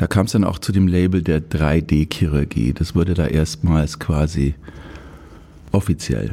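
With vocal fry and a dark, mellow tone, a man speaks at a very deep, low pitch and a fairly slow pace, keeping his loudness very even and his pitch variation ordinary. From Upper Bavaria. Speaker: orthopedic surgeon. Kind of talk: casual interview. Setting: studio.

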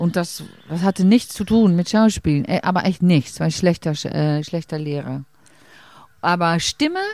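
Her voice fairly low and her intonation lively, a woman speaks at a moderate pace with long, frequent pauses, in a very clean recording with a silent background. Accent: Dutch. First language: Dutch (speaking German). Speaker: stage actress. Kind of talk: casual interview. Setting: outdoors in a garden. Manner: halting.

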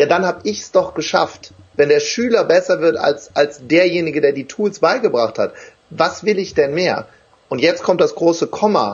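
A man talks at a moderate pace in a high voice. His tone is animated and his intonation lively. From Wuppertal, western Germany. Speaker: motivational trainer and speaker. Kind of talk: live interview. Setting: live stream on Facebook.

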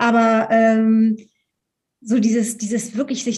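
The speaker is a woman with a somewhat breathy sound. She keeps to a moderate tempo. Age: 50s. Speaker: Enneagram coach. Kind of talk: interview. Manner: halting.

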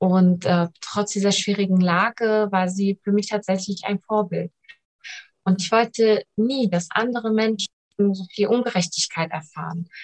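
A woman's plain, everyday voice at a fairly slow pace, medium in pitch and fairly even in intonation, with a dry, close sound and no echo. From Germany, family from Iran. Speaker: local politician, mayoral candidate. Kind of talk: interview.

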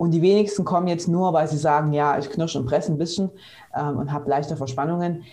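A woman speaks with a very deep, low pitch. Noticeable background noise and audible room echo surround her voice. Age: 30s. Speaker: physiotherapist. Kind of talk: interview.

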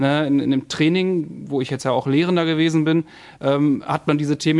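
Fairly high for a man, this voice is a normal speaking voice with fairly even intonation. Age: 30s. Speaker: police officer and recruiter. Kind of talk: casual chat.

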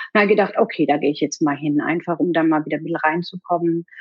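In a normal speaking voice, a woman talks at a fairly low pitch with fairly even intonation. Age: 50s. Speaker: relaxation educator for children, former IT employee. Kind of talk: casual interview.

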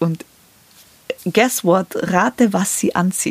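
With noticeable background noise, a woman speaks at a medium pitch in a dry, close sound with no echo. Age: 30s. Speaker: podcast host. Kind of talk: personal monologue.

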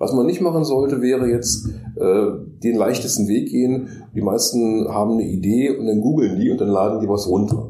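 Speaking at a moderate pace, a man holds a medium pitch with ordinary pitch variation. His loudness stays very even, and the room echo is audible. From Magdeburg, eastern Germany. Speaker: design professor and freelance illustrator. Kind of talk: casual interview.

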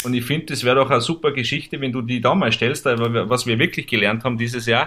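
A man's bright, sharp tone. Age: 30s. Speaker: motorsport series manager. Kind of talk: casual chat.

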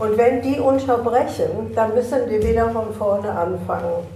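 A woman speaks at a fairly high pitch with ordinary pitch variation and a fairly slow pace. Noticeable background noise and audible room echo are present. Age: 90s. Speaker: host's elderly mother. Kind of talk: casual family conversation. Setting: recorded informally, non-studio.

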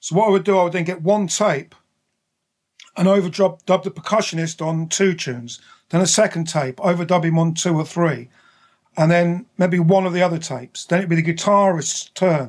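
A man speaks in a southern English accent at a moderate pace. His pitch is high. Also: ordinary pitch variation. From southern England, Buckinghamshire. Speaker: record label founder and producer. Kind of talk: interview. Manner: hesitant, many fillers.

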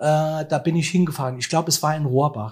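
A somewhat breathy man talks at a fairly high pitch with ordinary pitch variation. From Germany, Saarland (Saarbrücken). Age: 60s. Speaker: musician and event manager. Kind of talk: interview.

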